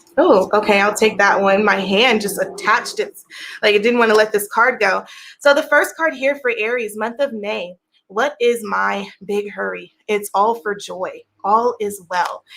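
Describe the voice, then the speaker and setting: Pitched fairly high, a woman with a normal speaking voice talks at a moderate pace with ordinary pitch variation. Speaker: tarot reader. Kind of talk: tarot reading.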